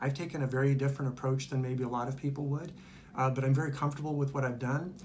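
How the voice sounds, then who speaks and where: A man speaks at a medium pitch, and the room echo is audible. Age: 60s. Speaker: retired pastor and cancer survivor. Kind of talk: testimony. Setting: infusion center. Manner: hesitant, many fillers.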